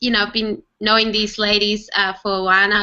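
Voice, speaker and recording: A woman at medium pitch with a bright, sharp tone, monotone, flat intonation and a moderate pace, over a quiet background. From Germany. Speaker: home-based online entrepreneur. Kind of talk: casual group video chat. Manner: hesitant, many fillers.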